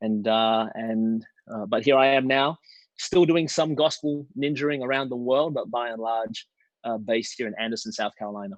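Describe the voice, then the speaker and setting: At a moderate pace and medium pitch, a man speaks with ordinary pitch variation over a quiet background. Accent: Australian. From Australia, Melbourne. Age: 40s. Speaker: preacher. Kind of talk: casual chat.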